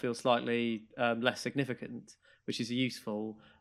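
This man talks at a moderate pace with a southern English accent. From southern England (Maidstone, Kent). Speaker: podcast co-host. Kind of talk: casual chat.

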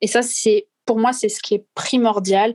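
Recorded dry and close with no echo, a woman speaks at a fairly slow pace in a fairly high pitch. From southwest France. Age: 30s. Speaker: marine conservation activist. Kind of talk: interview conversation. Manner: hesitant, many fillers.

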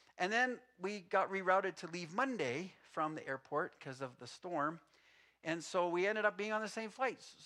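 Raised and projected, a man's high-pitched voice carries a bright, sharp tone, lively intonation and big swings in loudness. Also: moderate pace. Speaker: pastor. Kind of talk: sermon. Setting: church.

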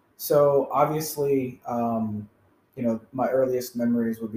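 Speaking at a fairly slow pace, a man with an American accent has a medium-pitched, somewhat breathy voice and a dark, mellow tone. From US Midwest, rural small town. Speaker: podcast co-host. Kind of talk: casual chat.

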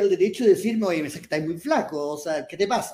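A man speaks with a Chilean accent. His pitch is high and his intonation lively. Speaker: writer and columnist. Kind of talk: live panel discussion. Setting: stage with audience.

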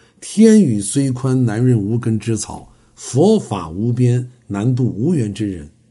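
Speaking very slowly, a man uses lively intonation at a medium pitch. His tone is dark and mellow. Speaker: traditional Chinese medicine health lecturer. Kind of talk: lecture. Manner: frequent filler 啊 interjections.

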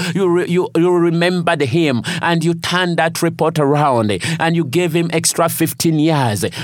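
Amid noticeable background noise, a man with a high pitch speaks in a passionate tone at a moderate pace, with ordinary pitch variation and very even loudness. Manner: earnest, declaring, rhythmic repetition; passionate, rising intensity.

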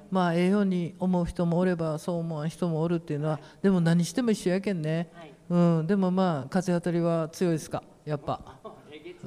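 A man's high-pitched voice, dark and mellow in tone, in an Ehime accent, fairly quick in pace with fairly even intonation. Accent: Iyo (Ehime) dialect. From Imabari, Ehime (Shikoku). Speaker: painter coordinating a community talk event. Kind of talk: casual panel discussion. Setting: public hall with audience.

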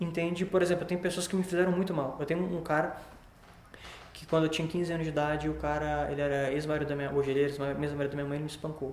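Over noticeable background noise and audible room echo, a man speaks very fast in a fairly high, monotone, flat voice. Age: 20s. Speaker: digital marketing entrepreneur. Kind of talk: podcast interview.

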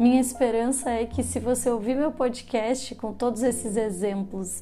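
A woman speaks with vocal fry at a fairly high pitch. Her intonation is monotone and flat, and her pace is moderate. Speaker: psychologist podcast host. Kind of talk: solo podcast monologue.

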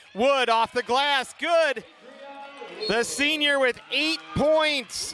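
Upbeat and enthusiastic, a man speaks in a raised, projected voice over noticeable background noise. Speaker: basketball play-by-play announcer. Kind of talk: live sports commentary. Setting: gymnasium, live game broadcast. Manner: upbeat, enthusiastic.

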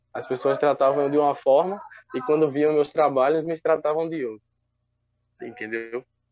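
At a moderate pace, a man with a fairly high pitch talks with ordinary pitch variation and long, frequent pauses. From Brazil, João Pessoa, Paraíba. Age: 20s. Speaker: visual artist and student. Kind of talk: interview. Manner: halting, with repetitions.

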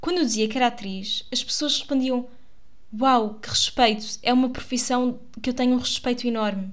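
A woman's high pitch at a moderate pace, with fairly even intonation. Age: 20s. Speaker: actress and podcaster. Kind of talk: casual monologue. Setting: home recording in her bedroom. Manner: chatty, with fillers and laughs.

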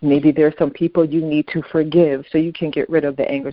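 A woman speaks at a fairly quick pace with an American accent. Her pitch is very deep and low, and her intonation stays fairly even. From Brooklyn, New York. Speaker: author and bereavement ministry volunteer. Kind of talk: interview.

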